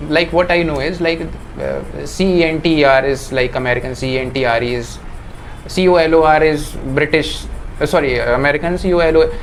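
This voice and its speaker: A man's fairly high voice at a fairly quick pace, intonation fairly even, with noticeable background noise. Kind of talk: interview answer.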